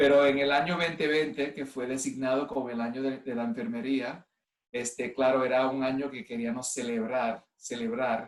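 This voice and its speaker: Fairly even intonation and a moderate pace from a man, his pitch in the medium range. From US (Cleveland, Ohio), Puerto Rican family. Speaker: nurse and clinical informatics executive. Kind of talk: online presentation. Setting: video call from home. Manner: halting, many fillers.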